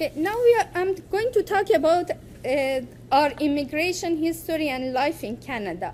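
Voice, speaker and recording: The voice moves at a moderate pace with very wide pitch swings over noticeable background noise. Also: woman, high pitch for a woman. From Iran. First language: Farsi. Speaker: poet and writer. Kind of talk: academic presentation. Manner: halting.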